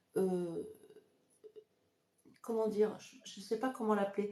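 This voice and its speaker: A woman with a dark, mellow tone talks at a moderate pace, at medium pitch, with fairly even intonation. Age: 60s. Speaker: psychic. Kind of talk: live stream tutorial. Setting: live video stream. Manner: hesitant, many fillers.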